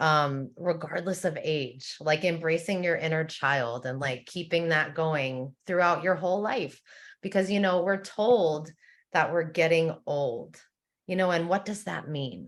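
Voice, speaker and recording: Speaking at a fairly slow pace, a woman uses an ordinary speaking voice, fairly low in pitch with ordinary pitch variation. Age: 40s. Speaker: support circle member. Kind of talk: casual group discussion. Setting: video call livestream.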